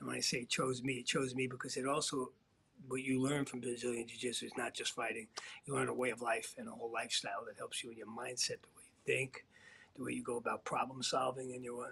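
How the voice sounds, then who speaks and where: Talking at a very fast pace, a man speaks with big swings in loudness. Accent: American. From US Northeast, Queens, New York City. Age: 60s. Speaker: martial arts instructor. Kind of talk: interview. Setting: live online show.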